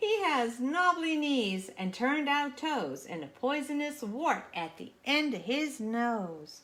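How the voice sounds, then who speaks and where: A woman speaks in a put-on character voice, raised and projected, with a high pitch. The pace is fairly slow, with hardly any pauses. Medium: read story. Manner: cheeky, confident.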